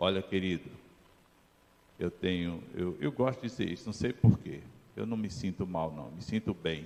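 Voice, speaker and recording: A man speaks at a moderate pace in a very deep, low voice with lively intonation. He leaves long, frequent pauses. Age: 70s. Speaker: pastor. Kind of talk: sermon.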